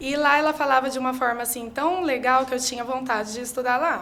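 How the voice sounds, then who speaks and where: Fairly even intonation with audible room echo. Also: woman. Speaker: teacher. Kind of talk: interview. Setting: studio.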